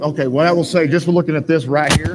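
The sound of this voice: This man speaks fast in a fairly high pitch. His intonation stays fairly even.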